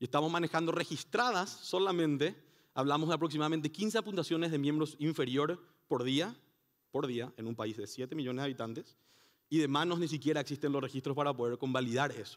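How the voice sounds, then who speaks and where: Against a quiet background, a man talks at a fairly quick pace. His pitch is fairly high, with ordinary pitch variation. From Paraguay. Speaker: conference speaker. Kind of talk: conference talk. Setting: stage with audience. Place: hall. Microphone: headset.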